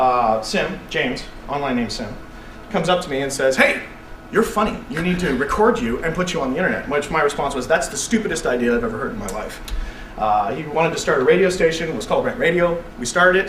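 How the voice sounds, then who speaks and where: Over noticeable background noise and audible room echo, a man with a Canadian accent talks very fast in an animated tone, his fairly high pitch making very wide swings. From Canada, Vancouver BC. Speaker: internet radio host. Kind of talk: public talk to students.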